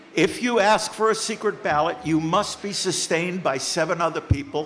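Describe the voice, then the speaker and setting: A man speaks at a moderate pace in a high voice, with ordinary pitch variation. Noticeable background noise sits behind him. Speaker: town meeting moderator. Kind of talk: meeting chairing. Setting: town hall meeting.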